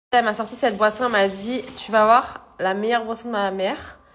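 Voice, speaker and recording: A woman speaks at a moderate pace. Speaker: lifestyle vlogger. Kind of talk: vlog. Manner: animated.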